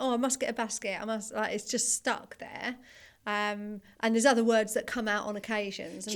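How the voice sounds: A woman with a fairly high voice speaks at a moderate pace in a flat, monotone delivery. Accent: Nottingham.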